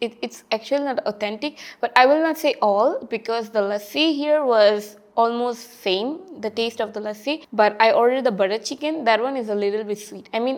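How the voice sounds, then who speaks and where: A woman with a Bengali accent speaks at a moderate pace. Her pitch is high, with ordinary pitch variation. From India, Kolkata, West Bengal. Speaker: international student. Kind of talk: interview. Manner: animated.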